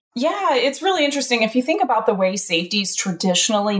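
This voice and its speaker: A woman speaks with a US Midwestern accent and very wide pitch swings. Noticeable background noise can be heard. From central Illinois. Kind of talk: interview.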